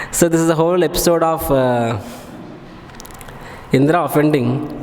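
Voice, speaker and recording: A man's fairly high-pitched voice at very even loudness, with ordinary pitch variation, audible room echo and noticeable background noise. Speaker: monk giving scripture class. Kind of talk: religious lecture. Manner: fast.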